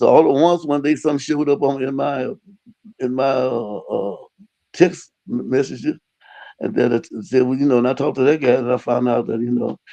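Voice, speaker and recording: A man talks fairly quickly in an American accent, his medium-pitched voice dark and mellow. His pitch varies in an ordinary way. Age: 80s+. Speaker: retired engineer and radio preacher. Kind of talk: religious interview. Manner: halting.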